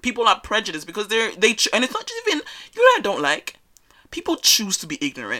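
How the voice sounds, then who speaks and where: Bright and sharp in tone, a woman speaks very fast and animated, with vocal fry and very wide pitch swings. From West Africa, raised in Australia. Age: 20s. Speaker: podcast host. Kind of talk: casual monologue. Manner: loud.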